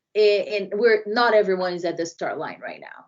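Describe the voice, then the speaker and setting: In a Brazilian accent, a woman speaks with fairly even intonation. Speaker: diversity and inclusion consultant. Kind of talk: podcast interview.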